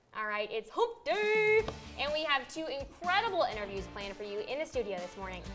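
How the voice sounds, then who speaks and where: With music in the background, a woman with an American accent talks at a fairly quick pace, her high pitch marked by very wide swings. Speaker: evening news anchor. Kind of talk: casual morning show banter with co-host.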